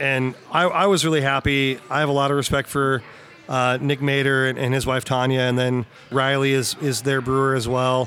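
Speaking with a Midwestern American accent, a man talks at a moderate pace with a medium pitch. His loudness stays very even over noticeable background noise. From Missouri, Lexington. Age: 40s. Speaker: brewery marketing manager. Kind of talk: casual chat. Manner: animated.

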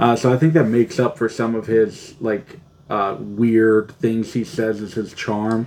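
Speaking at a fairly slow pace, a man uses a normal speaking voice at medium pitch with ordinary pitch variation. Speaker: podcast co-host. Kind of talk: casual chat.

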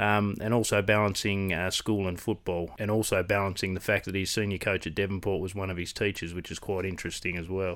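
A man with an Australian accent talks at a fairly quick pace with hardly any pauses, his pitch very deep and low. His intonation is monotone and flat, in a very clean recording with a silent background. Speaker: podcast host. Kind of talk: casual interview chat.

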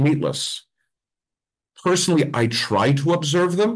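The speaker is a man with an American accent. His voice is somewhat breathy. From Pennsylvania, Mount Carmel. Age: 40s. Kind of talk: casual interview chat. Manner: animated.

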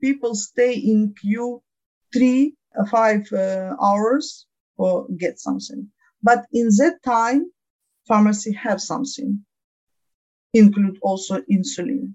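The somewhat breathy voice moves at a very slow pace with long, frequent pauses and ordinary pitch variation. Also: woman, fairly high pitch for a woman. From Ukraine. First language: Ukrainian or Russian. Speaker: diabetes patient advocate. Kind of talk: interview. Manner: halting.

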